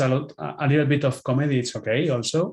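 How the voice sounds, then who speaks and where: In a Spanish accent, a man with a fairly high pitch keeps his intonation fairly even. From Spain. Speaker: film director. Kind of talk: interview. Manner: halting.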